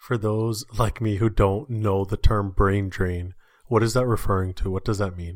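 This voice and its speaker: On a very clean recording with a silent background, a man with an ordinary speaking voice talks at a moderate pace. His pitch is fairly low and his intonation fairly even. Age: 30s. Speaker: podcast host. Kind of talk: interview.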